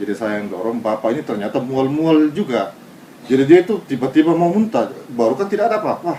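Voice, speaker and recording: The man talks at a very fast pace with very wide pitch swings. Noticeable background noise is present. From Japan. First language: Japanese (speaking Indonesian). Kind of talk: interview testimony.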